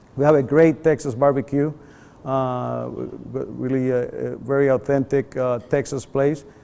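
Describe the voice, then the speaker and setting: Medium-pitched and dark, mellow in tone, the man's voice stays monotone and flat. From Puerto Rico. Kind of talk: friendly, welcoming.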